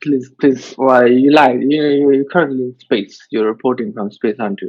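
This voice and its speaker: A man with a Mumbai accent talks at medium pitch and a moderate pace, his pitch varying in an ordinary way. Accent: Indian (Mumbai). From India, Mumbai. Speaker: vlogger, podcast host. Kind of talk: casual chat. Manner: halting, many fillers.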